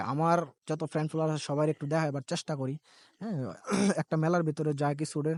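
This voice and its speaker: Against a quiet background, a man with a fairly high pitch speaks in a monotone, flat intonation, with a dry, close sound and no echo. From Brahmanbaria, Bangladesh. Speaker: vlogger. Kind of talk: walking vlog narration. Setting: outdoors at a fair. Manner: casual, rambling.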